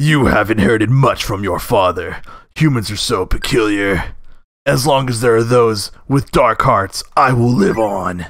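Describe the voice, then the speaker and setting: This is a man using a put-on character voice. His pitch sits at a medium level. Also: moderate pace. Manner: ominous.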